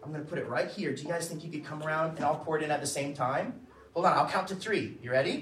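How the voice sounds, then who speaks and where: A man with an American accent, animated in tone, with audible room echo. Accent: American, noticeable to local kids. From Florida. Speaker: children's church teacher. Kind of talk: children's Bible lesson. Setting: room with children.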